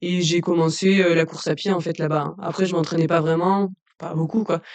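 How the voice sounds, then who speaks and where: A woman's flat, monotone delivery at a fairly quick pace. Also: fairly low pitch for a woman. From southern France, Lozère. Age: 20s. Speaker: trail runner. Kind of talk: casual interview. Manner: hesitant, many fillers.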